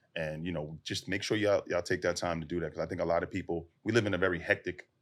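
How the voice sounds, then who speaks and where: A man with an American accent speaks very fast in a very deep, low pitch, keeping his intonation fairly even. The recording is very clean, with a silent background. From US inner city. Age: 40s. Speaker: SWAT officer and fitness advocate. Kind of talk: casual podcast interview. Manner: relaxed, conversational with many fillers.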